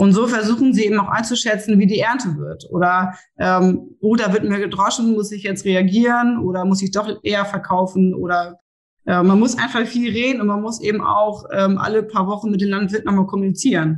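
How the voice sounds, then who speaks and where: At a moderate pace, a woman talks in a medium-pitched, somewhat breathy voice with fairly even intonation. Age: 30s. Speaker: seed sales and grain buyer. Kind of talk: podcast interview.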